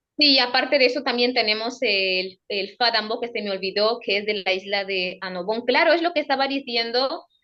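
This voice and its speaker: A woman with an Equatorial Guinean accent talks at a moderate pace with hardly any pauses, in a fairly high pitch with ordinary pitch variation. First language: Fang (speaking Spanish). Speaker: radio presenter and cultural advocate. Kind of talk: interview.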